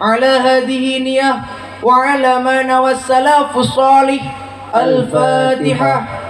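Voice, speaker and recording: Over background music, a man with a Banyumasan accent speaks very slowly at an extremely high pitch with very even loudness. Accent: Indonesian with Javanese Ngapak dialect. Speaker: Islamic boarding school student. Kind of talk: speech in a humorous duo.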